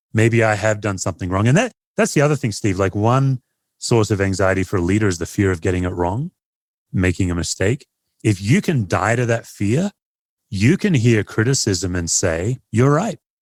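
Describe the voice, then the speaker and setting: Speaking at a moderate pace with an Australian accent, a man with a fairly low pitch and ordinary pitch variation is heard on a very clean recording with a silent background and a dry, close sound with no echo. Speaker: pastor and author. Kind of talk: podcast interview.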